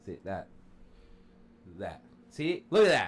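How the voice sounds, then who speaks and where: A man's animated tone with vocal fry. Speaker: podcast co-host. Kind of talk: casual chat. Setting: live stream. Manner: loud.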